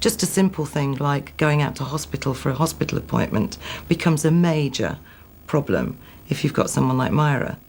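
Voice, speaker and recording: With a Manchester accent, a woman speaks at a fairly quick pace in a very deep, low pitch with vocal fry and ordinary pitch variation. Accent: Manchester, stronger than the other's. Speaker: former prison governor. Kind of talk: interview.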